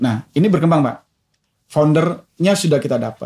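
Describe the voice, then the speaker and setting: The man's tone is dark and mellow, and he keeps a moderate pace with ordinary pitch variation. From Indonesia, Medan (Deli Tua), North Sumatra. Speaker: telecom executive. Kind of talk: interview.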